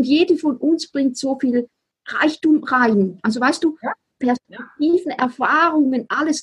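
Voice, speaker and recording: A woman's high voice at a fairly slow pace with very even loudness, in a dry, close sound with no echo. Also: ordinary pitch variation. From Switzerland. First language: Swiss German (speaking German). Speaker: spiritual business coach. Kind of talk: casual interview chat.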